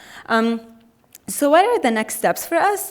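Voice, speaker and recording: Pitch swings very widely in this fairly quick speech. Noticeable background noise accompanies it. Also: woman. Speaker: health equity coordinator, keynote speaker. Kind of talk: conference keynote talk. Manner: fast.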